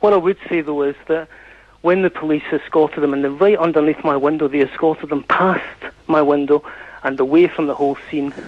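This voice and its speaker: A man with a Scottish accent, fairly high-pitched, fairly even in intonation and fairly quick in pace, over noticeable background noise. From Scotland. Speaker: caller. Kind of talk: radio phone-in debate. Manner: halting, with many false starts.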